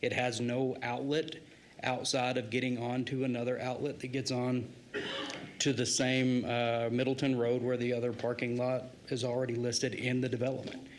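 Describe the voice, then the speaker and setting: Over noticeable background noise and audible room echo, a voice with an American accent keeps very even loudness and a monotone, flat intonation at a moderate pace. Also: man, medium pitch for a man. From Idaho, Nampa area. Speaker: resident giving public testimony. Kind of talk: public comment testimony. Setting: city council meeting.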